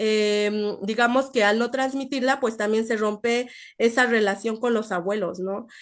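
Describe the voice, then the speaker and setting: A woman's fairly high voice with fairly even intonation, set against a quiet background. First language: Nahuatl (speaking Spanish). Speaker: invited speaker, researcher. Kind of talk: online seminar talk, Q&A answer. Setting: live-streamed online seminar. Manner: halting, many fillers and repetitions.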